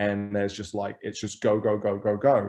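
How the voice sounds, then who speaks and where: In an English accent, a man speaks at a fairly low pitch with a dark, mellow tone over a quiet background. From England. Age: 40s. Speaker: grocery store co-founder. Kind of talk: interview conversation. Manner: halting, many repeated words.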